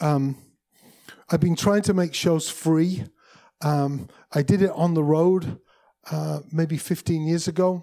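Speaking very slowly with long, frequent pauses, a man with an English accent has a fairly high pitch and a dark, mellow tone. His intonation stays fairly even. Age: 50s. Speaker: musician and music industry speaker. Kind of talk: presentation.

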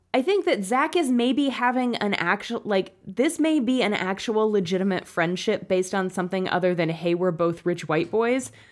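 A woman with an unremarkable speaking voice talks at medium pitch with lively intonation. Her pace is moderate, her loudness very even, and she hardly pauses. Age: 30s. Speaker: podcast co-host. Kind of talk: casual chat.

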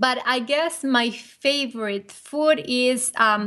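In a Spanish accent, a woman speaks at a very slow pace against a quiet background. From Argentina. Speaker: business co-owner. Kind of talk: casual interview.

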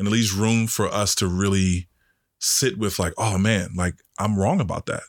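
A normal speaking voice with an American accent, moderate pace, very even loudness and fairly even intonation, on a very clean recording with a silent background. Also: man, fairly low pitch for a man. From Washington D.C. (Northwest). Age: 30s. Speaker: podcast host. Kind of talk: casual chat.

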